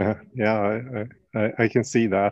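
In a dry, close sound with no echo, a man speaks at a fairly low pitch with monotone, flat intonation. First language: German. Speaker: podcast host. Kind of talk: casual interview. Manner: halting.

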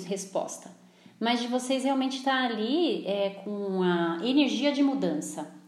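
Lively intonation from a woman at a moderate pace, with audible room echo. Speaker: therapist. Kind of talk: casual chat. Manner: talkative.

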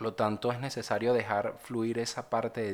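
This man's voice sits at a medium pitch. He talks at a fairly slow pace with monotone, flat intonation. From Venezuela. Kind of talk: personal testimony and devotional reflection.

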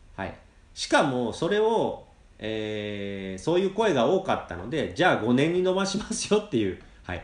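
Through noticeable background noise, a fairly high-pitched man's voice moves in very wide pitch swings. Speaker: podcast host teaching Japanese. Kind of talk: casual podcast monologue, simple Japanese. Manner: slow, halting with fillers.

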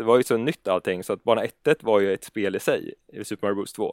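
A plain, everyday voice moves at a fairly quick pace with ordinary pitch variation. The recording is very clean with a silent background and a dry, close sound with no echo. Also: man. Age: 30s. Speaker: gaming YouTuber. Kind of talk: casual chat.

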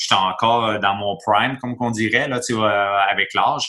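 On a very clean recording with a silent background, a man with a Quebec accent speaks in a bright, sharp tone at a fairly low pitch, fairly slowly and with monotone, flat intonation. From Quebec, Montreal. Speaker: retired hockey player, youth coach. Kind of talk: interview. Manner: halting.

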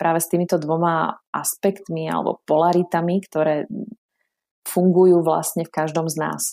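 A woman's fairly low, dark and mellow voice at a moderate pace, flat and monotone in intonation yet with big swings in loudness, on a very clean recording with a silent background. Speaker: therapist and lecturer. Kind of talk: interview.

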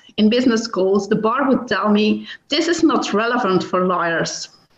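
In a room with audible echo, a woman with fairly high pitch speaks at a fairly slow pace with lively intonation. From Belgium. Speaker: business lawyer. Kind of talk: interview.

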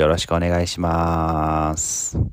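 The recording is very clean, with a silent background behind a man's voice. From Japan, Mie Prefecture. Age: 20s. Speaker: nurse. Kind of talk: casual solo podcast talk. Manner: halting, many fillers.

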